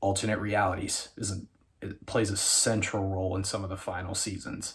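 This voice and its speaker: Quiet and somewhat breathy, a man with an American accent speaks at a fairly quick pace in a fairly low, monotone, flat voice. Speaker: YouTuber reviewing TV shows. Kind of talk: casual video commentary. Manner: quiet, keeping voice down.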